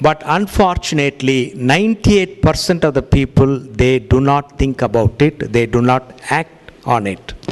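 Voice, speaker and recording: A man's fairly high voice moves at a moderate pace with lively intonation, backed by noticeable background noise. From India. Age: 60s. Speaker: cardiologist. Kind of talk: lecture.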